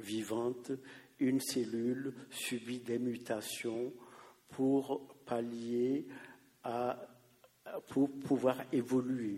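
Monotone, flat intonation runs through a dark, mellow tone. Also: man. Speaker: audience member. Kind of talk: audience question.

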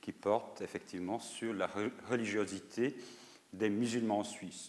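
A man talks with a fairly low pitch. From North Macedonia, schooled in Lausanne. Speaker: sociologist. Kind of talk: lecture. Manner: halting, frequent repetitions.

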